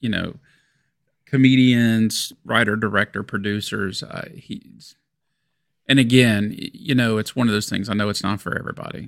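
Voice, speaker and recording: A man's medium-pitched, normal speaking voice moves at a moderate pace with fairly even intonation. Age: 50s. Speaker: podcast co-host. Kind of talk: casual chat. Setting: home studio.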